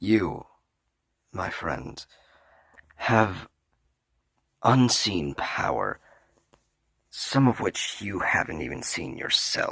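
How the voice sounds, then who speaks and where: Using a put-on character voice, a man speaks at a very slow pace in a very deep, low pitch, with long, frequent pauses. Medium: audio drama. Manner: smug, gloating.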